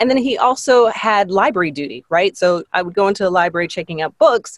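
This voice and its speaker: With an ordinary speaking voice at medium pitch, a woman talks at a fairly quick pace with lively intonation, the sound dry and close with no echo. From Canada, Toronto area. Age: 40s. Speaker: arts nonprofit executive director. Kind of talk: interview conversation.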